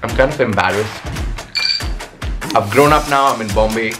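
A man with lively intonation over clear music in the background. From Nepal. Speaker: digital content creator. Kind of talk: casual talk to camera. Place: home room.

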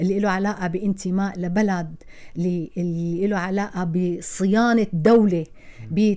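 A woman with a Syrian accent speaks at a fairly slow pace in a dark, mellow tone against a quiet background. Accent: Syrian Levantine Arabic. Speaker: actress. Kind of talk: interview. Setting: radio studio. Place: studio. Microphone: studio mic.

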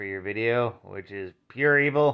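A man talks. Behind him, the background stays quiet. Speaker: vlogger. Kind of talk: casual vlog chat. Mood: wry, mildly grumbling. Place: home room. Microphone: phone near.

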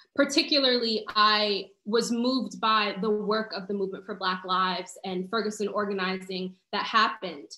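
A woman with a New York accent talks at a moderate pace with hardly any pauses, her pitch fairly high. Some room echo is audible, though the background stays quiet. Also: ordinary pitch variation. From New York City (Harlem). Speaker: community organizer. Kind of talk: panel discussion. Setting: video call. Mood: earnest, reflective. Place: home room. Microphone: video call.

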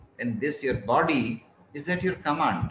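Against light background noise and audible room echo, a man speaks with very wide pitch swings. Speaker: motivational speaker giving a talk. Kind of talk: lecture, advisory. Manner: slow, relaxed, comfortable pace; calm, measured. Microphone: earbuds.

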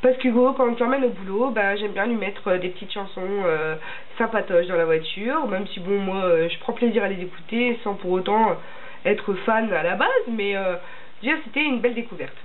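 A woman's speech keeps a moderate pace, and her pitch varies in an ordinary way. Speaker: beauty vlogger. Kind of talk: casual vlog chat. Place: home room. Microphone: camera far.

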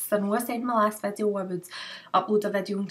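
In a Scottish accent, a woman speaks at a fairly quick pace with fairly even intonation. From Glasgow, Scotland. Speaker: beauty vlogger. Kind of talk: casual talk to camera. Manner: chatty, fast. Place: home room. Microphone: webcam.

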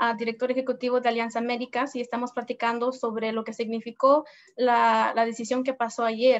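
A high-pitched woman at a moderate pace, monotone and flat, against a quiet background. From US, arrived from abroad aged two. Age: 20s. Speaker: community organizer; host. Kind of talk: live-streamed interview. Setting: Facebook Live stream. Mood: earnest, hopeful. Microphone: video call.

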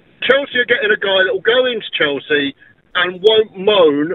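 Fairly quick delivery with ordinary pitch variation. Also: man. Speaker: caller. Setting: phone call.

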